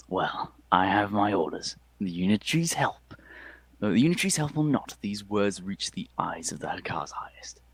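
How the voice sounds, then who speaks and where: In a put-on character voice, a man sounds gravelly and gruff at a fairly low pitch, with very wide pitch swings at a moderate pace. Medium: actual play. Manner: irritable.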